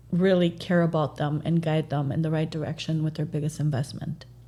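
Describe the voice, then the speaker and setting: With a Spanish accent, a woman speaks at a moderate pace in a very deep, low voice that is somewhat breathy, with a dark, mellow tone. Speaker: real estate agent. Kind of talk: podcast interview.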